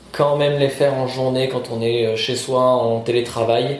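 A man's medium-pitched, monotone, flat delivery at a moderate pace, amid noticeable background noise and audible room echo. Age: 30s. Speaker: interviewee, job seeker. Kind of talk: interview. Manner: halting.

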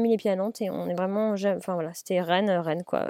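A woman's dark, mellow tone at a very fast pace, with ordinary pitch variation. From Paris, France. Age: 30s. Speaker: chef and restaurant owner. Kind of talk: interview. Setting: in a car, remote call. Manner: halting, many fillers.

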